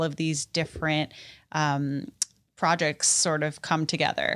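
A woman with an American accent speaks at a fairly slow pace in an ordinary speaking voice, her pitch fairly low for a woman, on a very clean recording with a silent background. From New York City. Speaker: television producer. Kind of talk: casual interview.

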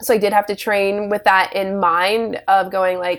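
A woman speaks in a Virginia accent. Her intonation is monotone and flat. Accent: American, Virginia. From US, Richmond, Virginia. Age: 20s. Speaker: step dancer. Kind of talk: casual interview.

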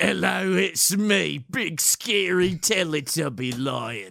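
Using a put-on character voice, a man speaks raspy and very slowly at a medium pitch. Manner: menacing, cartoonish.

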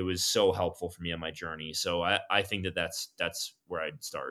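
A man with an American accent, very deep and low in pitch, with a bright, sharp tone, monotone, flat intonation, and a moderate pace on a very clean recording with a silent background. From South Florida, Miami. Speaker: company founder and CEO. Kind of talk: casual interview.

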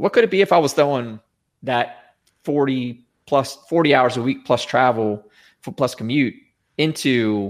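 Recorded very cleanly against a silent background, a man speaks in a normal speaking voice at medium pitch, with lively intonation and a moderate pace. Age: 40s. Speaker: former IT company CEO and Marine veteran. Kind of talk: casual interview.

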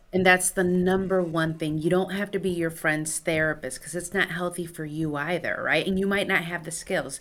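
Hardly pausing at all, a woman speaks in a fairly low voice with monotone, flat intonation. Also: moderate pace. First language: Spanish. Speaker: clinical psychologist, nonprofit director. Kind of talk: interview.

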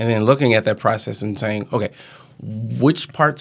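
A man with an American accent and a plain, everyday voice, medium pitch, ordinary pitch variation and moderate pace. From Southern Illinois. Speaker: podcaster and podcast coach. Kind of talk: casual interview. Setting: studio.

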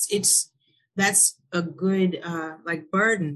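In an American accent, a woman uses a plain, everyday voice at a medium pitch with ordinary pitch variation. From US Midwest, Milwaukee. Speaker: podcast host, life coach. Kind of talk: casual interview.

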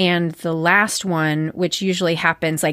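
A woman with a plain, everyday voice talks at a moderate pace, her pitch fairly low. The sound is dry and close with no echo, on a very clean recording with a silent background. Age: 40s. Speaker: therapist and podcast host. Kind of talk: casual interview.

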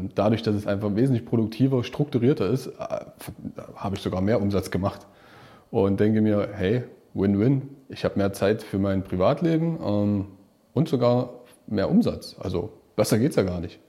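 A man talks at a moderate pace in an unremarkable speaking voice. His pitch is fairly low and varies in an ordinary way. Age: 30s. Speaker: self-employed financial adviser, coaching client. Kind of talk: casual interview testimony.

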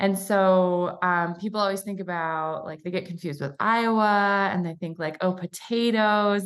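A woman's plain, everyday voice, medium in pitch, with an American accent, fairly even intonation, a moderate pace and hardly any pauses, over a quiet background. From Michigan. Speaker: chiropractor and coach. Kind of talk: casual interview chat.

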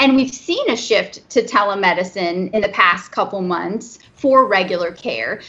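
A woman's unremarkable speaking voice, medium-pitched, at a fairly slow pace with ordinary pitch variation. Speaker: movement disorder specialist doctor. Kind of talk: interview. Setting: remote recording from home.

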